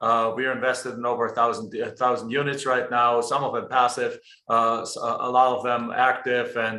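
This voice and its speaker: A man talks at a fairly quick pace and medium pitch, in a bright, sharp tone. His intonation is flat and monotone, and audible room echo surrounds him. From Germany. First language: German. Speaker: real estate investor. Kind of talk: interview. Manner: frequent word repetitions.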